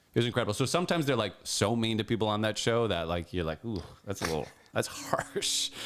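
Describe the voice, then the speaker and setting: Lively intonation comes through at a very fast pace over noticeable background noise. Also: man, fairly low pitch for a man. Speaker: podcast host. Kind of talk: casual chat.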